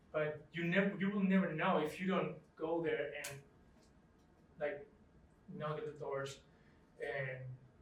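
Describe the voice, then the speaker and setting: Audible room echo surrounds a man whose fairly high-pitched voice keeps a fairly even intonation. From Chile. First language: Spanish. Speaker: photographer. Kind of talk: interview. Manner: halting.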